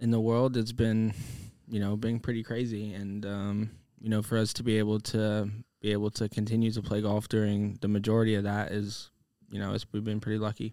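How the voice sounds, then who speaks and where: A dark, mellow voice speaks in a flat monotone on a very clean recording with a silent background. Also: man, fairly low pitch for a man, fairly quick pace. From US (moved from Manchester at five). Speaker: professional golfer. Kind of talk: interview chat.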